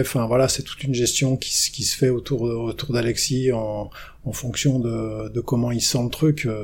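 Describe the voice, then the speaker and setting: A man talks at a medium pitch in a monotone, flat intonation. Noticeable background noise runs behind him. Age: 50s. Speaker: ski coach and mental trainer. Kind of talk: interview.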